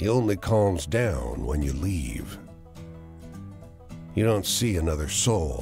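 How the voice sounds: A natural reading voice comes through, its intonation lively.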